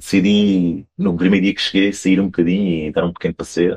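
A man with a strong Alentejo accent, fairly low in pitch, at a fairly quick pace, in a dry, close sound with no echo. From Portugal, Alentejo (Campo Maior). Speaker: wine importer. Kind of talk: interview.

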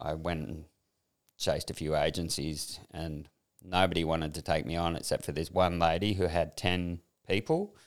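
A man with an Australian accent speaks at a moderate pace in a very deep, low voice, on a very clean recording with a silent background. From Sydney, northern beaches, Australia. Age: 60s. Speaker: former fashion industry worker, workshop graduate. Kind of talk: personal testimony in interview.

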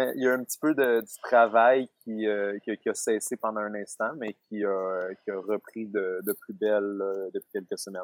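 Delivered at a moderate pace with ordinary pitch variation, the voice has a dry, close sound with no echo. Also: man. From Quebec. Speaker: self-employed forest dweller. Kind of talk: interview. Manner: halting. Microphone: lag on the line.

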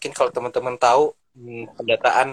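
Dry and close with no echo, a man's voice is heard. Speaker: public health student. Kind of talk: casual panel talk in an online live session. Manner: hesitant, many fillers.

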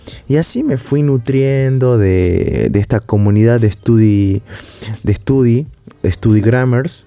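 Very slow speech at a very even loudness, with ordinary pitch variation and noticeable background noise. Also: man, medium pitch for a man. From Argentina, Salta. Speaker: university student podcaster. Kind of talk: casual monologue. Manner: hesitant, with filler sounds.

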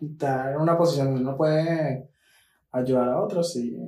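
With long, frequent pauses, a man speaks at a moderate pace in a fairly high voice with fairly even intonation. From Venezuela, Maracay (Aragua). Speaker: podcast co-host. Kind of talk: casual chat.

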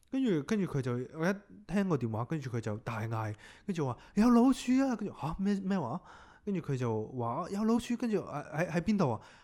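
Speaking at a fairly quick pace, a man with a high pitch and a dark, mellow tone swings his pitch very widely. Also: very clean recording, silent background. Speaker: podcast host. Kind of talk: casual chat.

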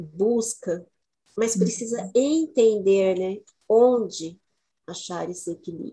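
This voice is somewhat breathy. Its tone comes across dark and mellow. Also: woman. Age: 50s. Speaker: women's cycles educator. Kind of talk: casual chat.

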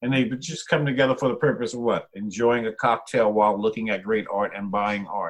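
Talking at a fairly quick pace with hardly any pauses, a man with an American accent uses a normal speaking voice at medium pitch with ordinary pitch variation. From New Jersey, Jersey Shore (Monmouth County). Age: 50s. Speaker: artist and art entrepreneur. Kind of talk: casual interview.

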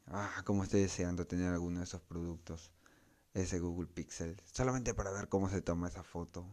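A very deep, low male voice in a Peruvian accent, dark and mellow in tone, fairly even in intonation and fairly quick, on a very clean recording with a silent background. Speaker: tech podcast host. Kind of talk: solo tech podcast monologue. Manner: casual, with frequent fillers.

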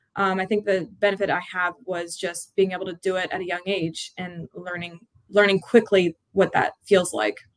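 A woman with an American accent at a medium pitch and moderate pace, monotone and flat in intonation, with big swings in loudness and a dry, close sound with no echo. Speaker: college lacrosse head coach. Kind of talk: interview.

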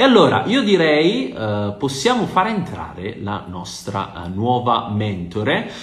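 Amid noticeable background noise and audible room echo, a man speaks very slowly at a medium pitch with very wide pitch swings. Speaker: podcast host. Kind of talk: interview.

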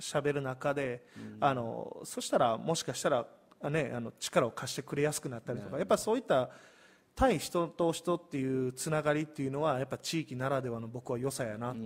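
At a fairly high pitch and a fairly quick pace, a man speaks with ordinary pitch variation in a very clean recording with a silent background. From Osaka, Hirakata (Kansai). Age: 30s. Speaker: community business owner. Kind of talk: live-stream interview.

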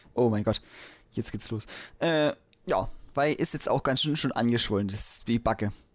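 The speech moves at a moderate pace, broken by long, frequent pauses. The recording is very clean, with a silent background. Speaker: podcast co-host. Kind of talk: casual chat.

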